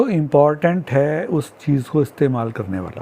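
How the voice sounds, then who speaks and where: Fairly high in pitch, a man speaks in a plain, everyday voice. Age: 60s. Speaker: social commentator. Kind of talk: monologue.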